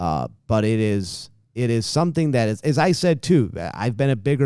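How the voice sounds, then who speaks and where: With an American accent, a man speaks at a moderate pace in a dark, mellow tone with lively intonation. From New York State, Utica. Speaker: sports team executive and broadcaster. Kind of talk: casual interview.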